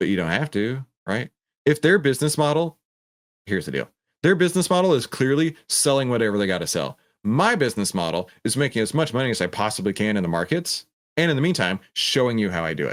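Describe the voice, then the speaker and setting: With vocal fry and an animated tone, a man at a medium pitch races at a very fast pace through very wide pitch swings. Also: dry, close sound with no echo, very clean recording, silent background. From Texas. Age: 30s. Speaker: trading educator. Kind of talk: live stream Q&A. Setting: studio with green screen. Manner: casual.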